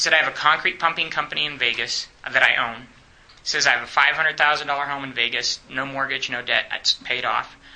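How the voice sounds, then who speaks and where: A man with a fairly high pitch and an American accent, speaking at a fairly quick pace over noticeable background noise. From Romania (American missionary family). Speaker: evangelism trainer, full-time minister. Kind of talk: teaching workshop in church class. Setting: church class. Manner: animated.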